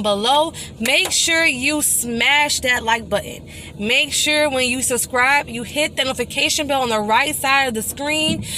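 A woman uses a raised, projected voice at a fairly slow pace with ordinary pitch variation. The sound is dry with no echo, and light background noise is present. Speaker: vlogger. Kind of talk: casual vlog chat. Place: car. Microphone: phone near.

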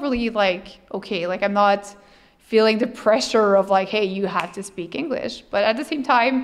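A woman speaks at a moderate pace with a French accent. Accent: non-native English, French. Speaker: streamer and cosplayer. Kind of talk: interview answer. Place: hall. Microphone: handheld.

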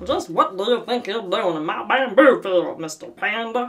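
Faint music plays in the background behind a put-on character voice. It sits at a fairly high pitch and moves at a moderate pace. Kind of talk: comedic storytelling, character voice. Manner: haughty, indignant.

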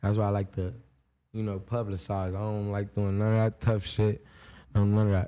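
A man's fairly low, dark and mellow voice in an American accent, monotone and flat, at a moderate pace. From Long Beach, California. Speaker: rapper. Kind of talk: casual interview. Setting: studio. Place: studio. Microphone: studio mic.

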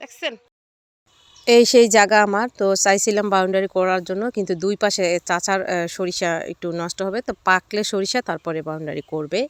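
An unremarkable speaking voice shows ordinary pitch variation, recorded with a dry, close sound and no echo. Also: woman, medium pitch for a woman. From Bangladesh, Shariatpur. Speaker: cooking vlogger. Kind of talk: vlog narration. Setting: outdoors.

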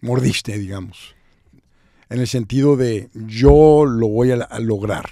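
Over a quiet background, a man speaks at a very slow pace in a dark, mellow tone with ordinary pitch variation, the sound dry with no echo. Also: medium pitch for a man. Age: 60s. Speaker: podcast host and business consultant; podcast host. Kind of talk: interview. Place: studio. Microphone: studio mic.

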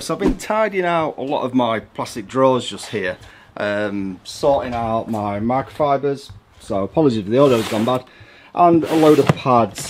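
A man talks with lively intonation and a moderate pace while noticeable noise sounds behind him. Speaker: car detailing vlogger. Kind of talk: casual vlog chat. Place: garage. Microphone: phone near.

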